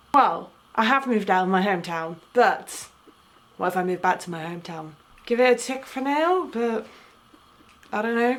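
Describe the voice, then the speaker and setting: A woman talks at a moderate pace in a fairly high pitch with very wide pitch swings and long, frequent pauses. Noticeable background noise runs underneath. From Essex, England. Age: 20s. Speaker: travel and language vlogger. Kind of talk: casual vlog monologue. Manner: rambling, filler-heavy.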